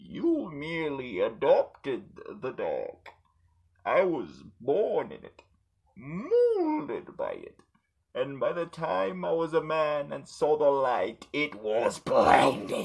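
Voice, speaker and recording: A man drawls at a very slow pace in a put-on character voice. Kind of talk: film villain impression. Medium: solo performance. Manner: menacing, slow, grandiose.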